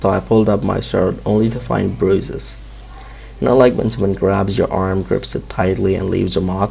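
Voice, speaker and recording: A man's very deep, low voice with a non-native accent and very wide pitch swings, at a moderate pace amid noticeable background noise. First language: not English. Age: 20s. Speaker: amateur horror storyteller. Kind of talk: first-person story narration.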